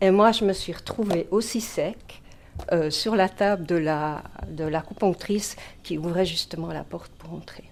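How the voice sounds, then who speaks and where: With a Dutch accent, a woman speaks at a fairly slow pace in a fairly low pitch, using vocal fry, ordinary pitch variation and big swings in loudness. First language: Dutch (speaking French). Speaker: mediumship student. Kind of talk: testimony.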